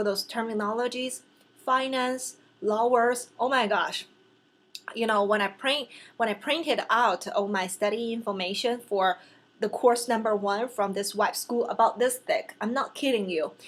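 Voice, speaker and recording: The voice carries a Chinese accent. Its pitch variation is ordinary. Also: woman, fairly high pitch for a woman, moderate pace. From China. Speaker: vlogger and real estate license student. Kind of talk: casual vlog talk to camera. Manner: halting, with fillers and self-corrections.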